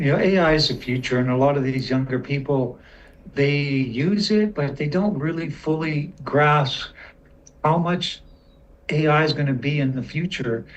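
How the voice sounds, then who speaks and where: A somewhat breathy man with a fairly high pitch. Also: ordinary pitch variation, moderate pace. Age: 60s. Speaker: community member asking questions. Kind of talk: casual chat.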